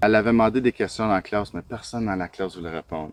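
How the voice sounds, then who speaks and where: The recording is dry and close with no echo as a man talks at a fairly low pitch with fairly even intonation. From Ontario, Canada. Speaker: teacher. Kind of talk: interview answer.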